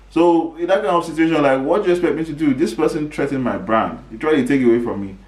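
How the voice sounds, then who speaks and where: Over noticeable background noise and audible room echo, a man talks at a very fast pace in an animated tone with lively intonation. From Nigeria. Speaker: podcast host. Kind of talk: casual commentary monologue.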